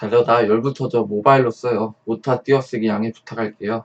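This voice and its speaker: A man's plain, everyday voice at a medium pitch and a moderate pace, in a dry, close sound with no echo. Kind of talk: story reading.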